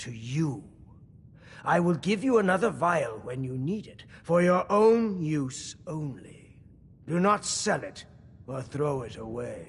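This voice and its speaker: A man's theatrical, put-on character voice, high in pitch with very wide pitch swings, at a fairly slow pace. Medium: video game. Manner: grandiose, theatrical.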